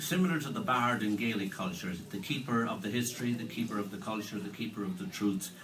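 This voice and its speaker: Over light background noise, a man with an Irish accent talks at a fairly quick pace with ordinary pitch variation. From Ireland. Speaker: musician and musicologist presenting a concert; event host introducing a musician. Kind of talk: stage introduction. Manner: halting, many fillers and repeats. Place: hall. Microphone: camera far.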